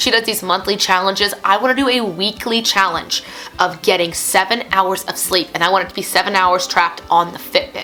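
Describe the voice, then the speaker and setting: Fairly quick speech from a woman over noticeable background noise. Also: medium pitch for a woman, ordinary pitch variation. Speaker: music teacher and online English teacher. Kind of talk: casual vlog talk to camera. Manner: chatty, talkative.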